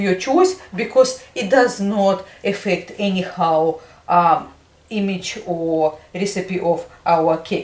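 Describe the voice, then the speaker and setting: A woman's very slow speech with ordinary pitch variation over noticeable background noise. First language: not English. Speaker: home baker. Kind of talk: tutorial. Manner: halting, many fillers.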